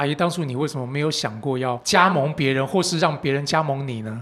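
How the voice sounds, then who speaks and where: Fairly quick and fairly high in pitch, a man speaks in a plain, everyday voice, captured in a very clean recording with a silent background. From Taiwan. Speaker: podcast host. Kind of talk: casual chat.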